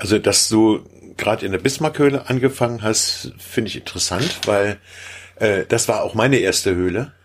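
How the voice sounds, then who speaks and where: Pitched at a medium level, an unremarkable speaking voice belonging to a man moves at a moderate pace with ordinary pitch variation. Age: 50s. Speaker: caver. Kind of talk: casual chat.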